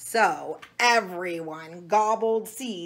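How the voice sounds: Pitch shifts in an ordinary way across a natural reading voice.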